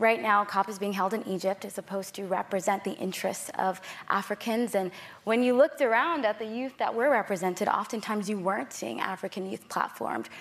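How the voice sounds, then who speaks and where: At a fairly quick pace, this is a normal speaking voice with ordinary pitch variation. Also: woman, medium pitch for a woman. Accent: American. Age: young. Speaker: climate activist. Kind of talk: panel discussion.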